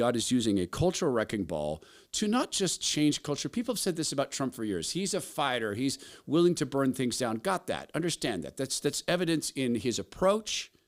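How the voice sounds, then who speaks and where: Here a man speaks with a fairly high pitch and some vocal fry. His pitch swings very widely. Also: fairly quick pace. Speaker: talk show host. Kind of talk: opinion monologue. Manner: passionate.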